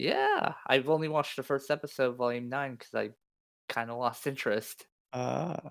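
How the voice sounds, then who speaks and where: Medium in pitch with fairly even intonation, a man with a normal speaking voice talks at a moderate pace. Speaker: podcast host. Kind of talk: casual comedic chat.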